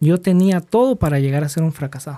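Dark, mellow voice in a Guatemalan accent, ordinary pitch variation, very clean recording with a silent background. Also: man. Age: 30s. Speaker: small business owner. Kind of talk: personal testimony in interview. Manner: halting with fillers.

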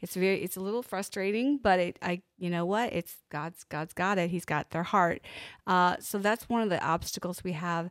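A woman's ordinary speaking voice with an American accent, medium pitch and ordinary pitch variation, at a moderate pace, in a very clean recording with a silent background and a dry, close sound with no echo. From Pennsylvania. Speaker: nonprofit ministry leader. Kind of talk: interview. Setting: studio.

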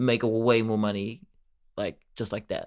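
The man's pitch is medium, and he keeps a moderate pace. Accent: New Zealand. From New Zealand, Auckland. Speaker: podcast co-host. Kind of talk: casual chat. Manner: animated.

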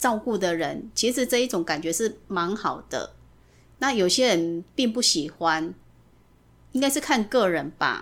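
A woman at medium pitch with very wide pitch swings, a fairly slow pace, and a very clean recording with a silent background. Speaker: mother of the host. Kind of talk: casual family interview. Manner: careful, deliberate retroflex enunciation.

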